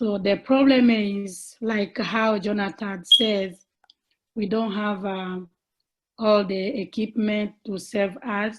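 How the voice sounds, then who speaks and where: A woman's somewhat breathy voice with a non-native accent, fairly even intonation, and a quiet background. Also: medium pitch for a woman. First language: not English. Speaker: childcare provider. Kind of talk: question at a virtual forum. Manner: halting.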